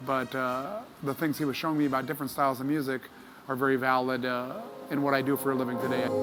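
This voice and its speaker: A man at medium pitch talks at a very fast pace with very even loudness and fairly even intonation amid noticeable background noise. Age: 60s. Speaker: session trumpet player. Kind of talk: interview. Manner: halting, many fillers.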